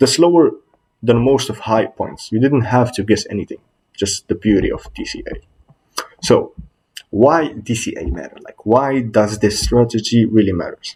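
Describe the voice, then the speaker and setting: A man with a non-native accent at a moderate pace, with big swings in loudness. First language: not English. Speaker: student presenter. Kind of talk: class presentation. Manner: slightly halting.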